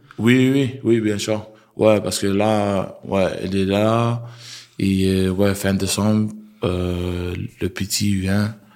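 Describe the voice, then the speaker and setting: A man talks at a very slow pace in a fairly low pitch. His intonation is fairly even, and the room echo is audible. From Australia. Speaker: rugby player. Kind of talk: interview. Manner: halting.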